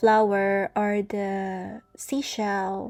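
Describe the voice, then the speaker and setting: Music plays in the background as a woman speaks in a fairly high voice. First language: not English. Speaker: gaming content creator. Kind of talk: casual account tour commentary. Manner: loud, chatty.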